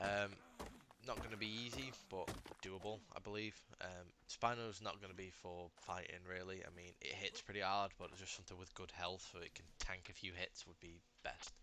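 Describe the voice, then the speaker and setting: Speaking at a moderate pace with a British accent, a man has a very deep, low pitch and a bright, sharp tone. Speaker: gaming youtuber. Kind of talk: gameplay commentary. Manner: halting, many fillers.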